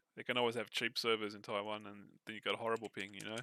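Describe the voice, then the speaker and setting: With an Australian accent, a man speaks very fast in a bright, sharp, monotone, flat voice, recorded dry and close with no echo. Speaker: gamer. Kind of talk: casual chat. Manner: halting.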